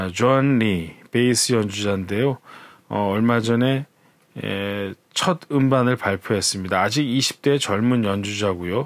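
On a very clean recording with a silent background, a man talks at a very slow pace in a relaxed tone and a fairly low pitch. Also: ordinary pitch variation. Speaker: jazz radio host. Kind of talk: casual program preview talk. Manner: relaxed with frequent fillers.

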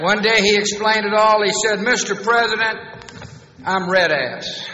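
With audible room echo and light background noise, a man with a high-pitched voice keeps a fairly even intonation. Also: moderate pace. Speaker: U.S. president giving a commencement speech. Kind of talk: commencement speech with humor. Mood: warm, humorous. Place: hall. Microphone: podium.

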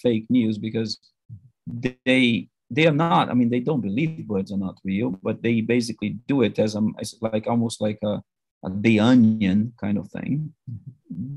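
With a Portuguese accent, a man talks at a moderate pace and medium pitch, the sound dry with no echo against a quiet background. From Brazil. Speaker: academic audience member; audience member. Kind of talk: Q&A question. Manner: halting. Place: office. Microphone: video call.

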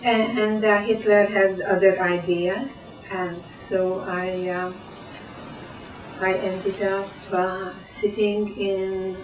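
Amid noticeable background noise, a woman speaks at medium pitch with fairly even intonation. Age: 80s+. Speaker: Holocaust survivor. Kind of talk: interview answer.

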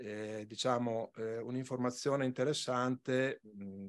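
A man's monotone, flat intonation at a very slow pace. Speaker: regional environment official; conference presenter. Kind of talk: conference presentation. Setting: conference hall. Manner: soft-spoken. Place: hall.

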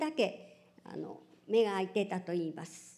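A woman speaks at a fairly slow pace. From Japan (Hiroshima); Japan. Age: 70s. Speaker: atomic bomb survivor. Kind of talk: testimony. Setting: public event with audience. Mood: solemn, grave recollection. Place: hall. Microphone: podium.

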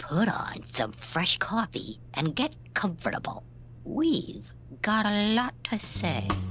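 A cartoonish character voice at a fairly slow pace, with clear background noise. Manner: cheeky, commanding.

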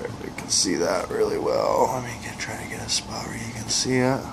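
A man amid noticeable background noise. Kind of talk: casual unboxing commentary. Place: home room. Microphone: camera far.

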